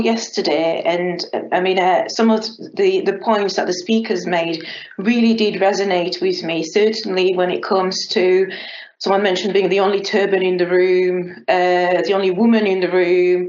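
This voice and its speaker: Noticeable background noise and audible room echo accompany speech at a moderate pace with very even loudness. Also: woman. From Gabon. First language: French. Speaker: council business analyst. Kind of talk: conference talk. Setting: video call.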